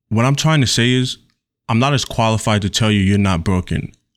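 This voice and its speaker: Music plays in the background. Over it, a man speaks with ordinary pitch variation. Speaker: video essayist. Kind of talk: video essay narration.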